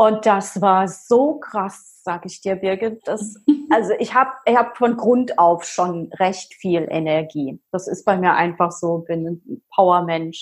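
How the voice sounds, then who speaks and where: A woman speaking at a very slow pace, hardly any pauses, and ordinary pitch variation. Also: medium pitch for a woman. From Palatinate, Germany. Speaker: fitness coach. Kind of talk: personal story interview. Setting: video call. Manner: animated.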